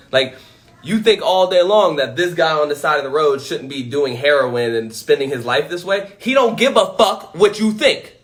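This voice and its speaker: A loud, animated man's voice, high-pitched for a man, with very wide pitch swings and a moderate pace. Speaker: motivational speaker. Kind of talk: livestream monologue.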